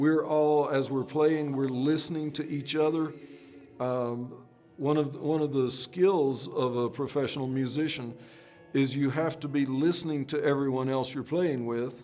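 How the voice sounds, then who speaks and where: Over music in the background, a man speaks with fairly even intonation, and the room echo is audible. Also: fairly high pitch for a man, moderate pace. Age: 60s. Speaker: orchestral percussionist and composer. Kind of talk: instrument demonstration; interview. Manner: conversational with fillers.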